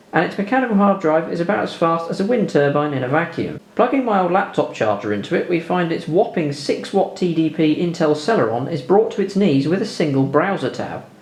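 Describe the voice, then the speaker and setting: With a British accent, the speaker talks at a fairly quick pace with lively intonation and hardly any pauses, over noticeable background noise. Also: man, high pitch for a man. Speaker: tech YouTuber. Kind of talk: video voiceover tutorial. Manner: dry, sarcastic.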